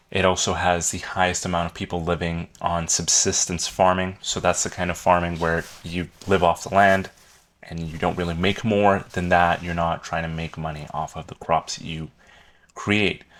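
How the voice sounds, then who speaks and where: This man's pitch is very deep and low. His intonation is monotone and flat. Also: moderate pace. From South Africa. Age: 20s. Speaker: YouTube educator. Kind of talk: educational talk. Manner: casual, conversational.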